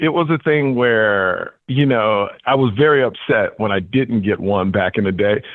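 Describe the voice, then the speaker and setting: The speech moves at a fairly slow pace with very even loudness, ordinary pitch variation and hardly any pauses. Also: man, medium pitch for a man. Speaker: comedian and game show host. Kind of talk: interview. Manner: energetic, excited; animated.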